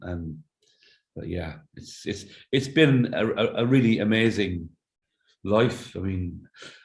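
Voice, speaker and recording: A man with an Irish accent, medium pitch and lively intonation, at a fairly slow pace, amid audible room echo. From Ireland. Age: 60s. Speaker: singer-songwriter. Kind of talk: interview conversation. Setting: remote call from home. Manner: halting, repeats words.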